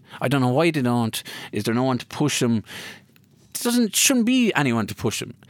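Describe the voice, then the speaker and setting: A man's medium-pitched voice at a moderate pace, with ordinary pitch variation and long, frequent pauses, on a very clean recording with a silent background. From Ireland, County Kilkenny. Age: 30s. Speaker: former hurler. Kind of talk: casual interview. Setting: studio.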